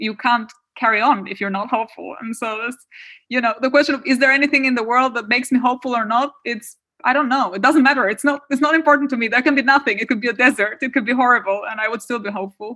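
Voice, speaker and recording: In an Albanian accent, a woman speaks with high pitch and a bright, sharp tone. Her pace is very fast and her intonation fairly even. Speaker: political theory professor. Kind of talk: interview.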